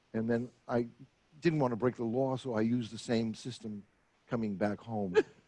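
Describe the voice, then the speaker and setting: Speaking at a moderate pace, a man with an American accent uses fairly even intonation in a medium-pitched voice with a dark, mellow tone. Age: 80s+. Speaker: retired therapist and former announcer. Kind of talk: interview.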